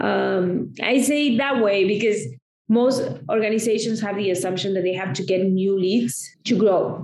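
Audible room echo surrounds a woman's voice. She talks at a moderate pace with ordinary pitch variation. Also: medium pitch for a woman. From Argentina. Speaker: marketing consultant. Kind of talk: interview.

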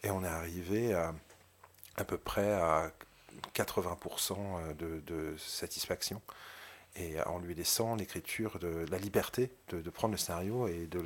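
A very deep, low-pitched male voice, very slow in pace, with fairly even intonation. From provincial France. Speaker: film director. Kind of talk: interview. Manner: halting.

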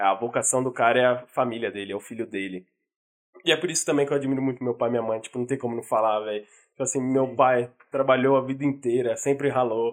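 A man speaks at a very fast pace with a medium pitch. His intonation stays fairly even. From São Paulo, Brazil. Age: 20s. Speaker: podcast co-host. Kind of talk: casual chat.

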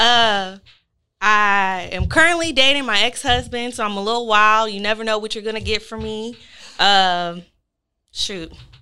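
A woman with an American accent, fairly high-pitched and bright and sharp in tone, at a moderate pace with ordinary pitch variation and big swings in loudness, in a very clean recording with a silent background. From New Orleans. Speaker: podcast host. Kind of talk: casual chat.

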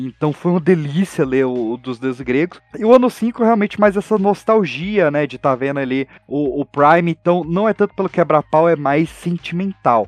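Using a plain, everyday voice, a man speaks at a moderate pace with hardly any pauses, a fairly high pitch and lively intonation. The sound is dry and close with no echo. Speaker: podcaster guest. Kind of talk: casual chat.

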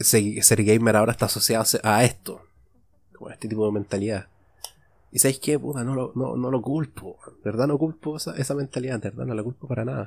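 A man with a Chilean accent talks at a fairly quick pace in a medium pitch. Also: ordinary pitch variation. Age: 20s. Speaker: podcaster. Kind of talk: solo monologue podcast. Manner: casual, improvised with frequent repetitions.

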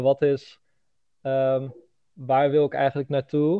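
A man speaks at a medium pitch. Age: 20s. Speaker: copywriter and funnel builder. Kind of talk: casual chat.

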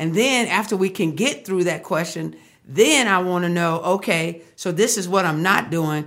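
A woman's fairly low voice, an unremarkable speaking voice with an American accent, ordinary pitch variation and a moderate pace. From Texas, Fort Worth. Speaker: marriage counselor. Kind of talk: casual interview.

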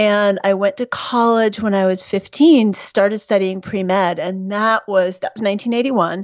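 In an ordinary speaking voice, a woman with an American accent talks at medium pitch and a moderate pace. She uses fairly even intonation with hardly any pauses. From New York City. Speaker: physician and midwife. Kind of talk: interview.

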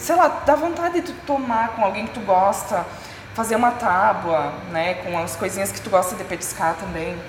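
A woman's voice with very wide pitch swings and big swings in loudness, plus audible room echo and noticeable background noise. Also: medium pitch for a woman, moderate pace. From Rio Grande do Sul, Serra Gaúcha. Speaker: podcast host, graphic designer. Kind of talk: casual chat. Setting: on location at a culinary school.

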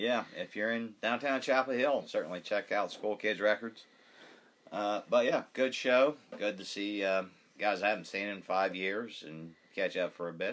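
Moderate pace, ordinary pitch variation, and an ordinary speaking voice. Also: man, fairly low pitch for a man. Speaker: podcast co-host, music fan. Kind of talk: casual chat. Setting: studio.

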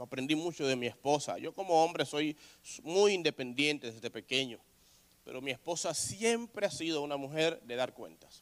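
Using a normal speaking voice, a man talks at a fairly high pitch. His intonation is lively and his pace moderate. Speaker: pastor. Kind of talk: sermon.

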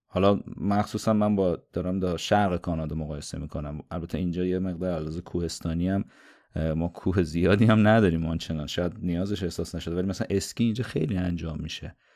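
A man talks very fast in a very deep, low voice with a dark, mellow tone. His intonation is fairly even, and the recording is very clean with a silent background. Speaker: podcast host. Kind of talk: interview.

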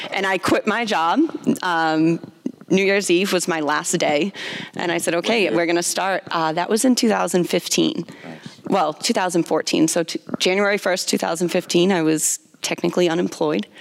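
Speaking fairly slowly over noticeable background noise, a woman uses a fairly low pitch with ordinary variation. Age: 20s. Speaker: gym co-owner. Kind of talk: casual chat. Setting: gym.

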